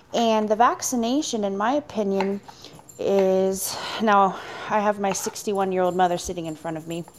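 With noticeable background noise, a woman speaks at a moderate pace and medium pitch, with ordinary pitch variation. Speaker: caller. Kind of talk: casual chat.

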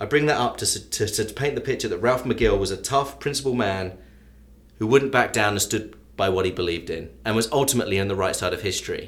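A fairly quick pace in an English accent, with ordinary pitch variation. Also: man. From England. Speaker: sports journalist and local historian. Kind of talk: storytelling interview.

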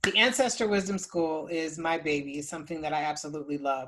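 A woman's normal speaking voice, fairly quick, with ordinary pitch variation. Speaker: ancestral healing teacher. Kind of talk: workshop with live Q&A and guided process. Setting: video call workshop.

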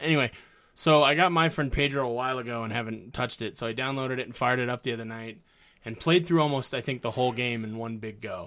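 Ordinary pitch variation comes through at a very fast pace. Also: man, medium pitch for a man. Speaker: co-host. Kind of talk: casual chat. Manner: jokey, banter.

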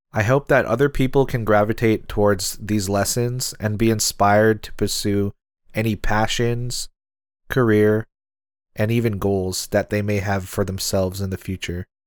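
In a very clean recording with a silent background, a man with an American accent talks at a moderate pace with a fairly low pitch and fairly even intonation. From US Pacific Northwest, Seattle. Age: 20s. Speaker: podcast host. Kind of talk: solo podcast intro monologue.

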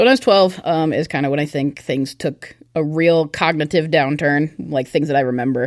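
A woman with an American accent speaks in a very deep, low pitch with ordinary pitch variation. Her pace is moderate, with hardly any pauses. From US Pacific Northwest, Olympia, Washington. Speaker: church youth leader. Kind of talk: testimony.

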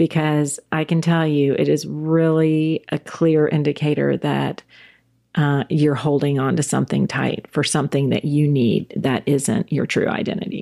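In a very clean recording with a silent background, a woman with a slight Southern US accent speaks at a very deep, low pitch, her loudness very even and her intonation fairly even. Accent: Southern US, slight drawl. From South Carolina, US South. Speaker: church women's ministry leader, former attorney. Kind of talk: casual podcast conversation.

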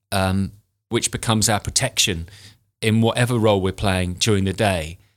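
A man with a British accent talks at a moderate pace with fairly even intonation. The recording is very clean, with a silent background. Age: 40s. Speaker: grooming and aging expert. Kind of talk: casual interview chat.

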